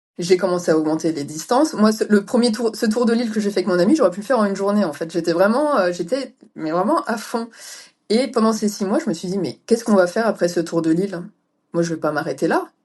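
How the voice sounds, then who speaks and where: A woman speaks very fast at medium pitch with lively intonation. Her loudness swings widely. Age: 40s. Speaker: ultra-distance cyclist. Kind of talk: interview.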